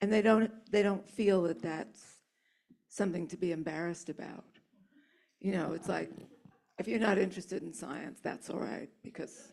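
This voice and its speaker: A woman with a fairly low pitch and vocal fry talks at a moderate pace with ordinary pitch variation, big swings in loudness and long, frequent pauses. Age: 70s. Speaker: author. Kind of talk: audience Q&A.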